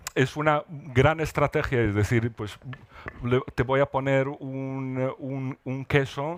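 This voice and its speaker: Speaking very slowly, a man has a North African accent. His pitch is medium and his intonation fairly even. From northern Morocco (Rif, Alhucemas). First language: Amazigh (speaking Spanish). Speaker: writer. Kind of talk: literary panel discussion. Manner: halting, many repetitions.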